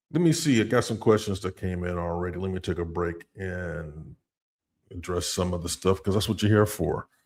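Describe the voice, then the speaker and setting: A man with an American accent speaks with a very deep, low pitch. The recording is very clean and the background silent. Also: ordinary pitch variation, moderate pace. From US South, North Carolina. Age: 50s. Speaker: relocation consultant and business owner. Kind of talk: live Q&A stream. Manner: casual, animated.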